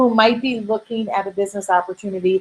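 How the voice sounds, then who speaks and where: A woman with a Minnesotan accent talks at a fairly quick pace. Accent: Minnesota. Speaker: direct sales business coach. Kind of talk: webinar Q&A. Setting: online webinar. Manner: filler-heavy, many ums.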